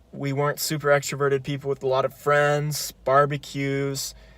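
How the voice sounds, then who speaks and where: A man with an American accent at a fairly slow pace, on a very clean recording with a silent background. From California, Grass Valley. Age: 20s. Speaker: psychology student. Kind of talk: personal video monologue.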